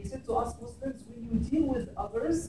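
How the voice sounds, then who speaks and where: A man talks at a moderate pace. Noticeable background noise and audible room echo are present. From Egypt. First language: Arabic. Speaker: imam. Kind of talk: public talk. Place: classroom. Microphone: camera far.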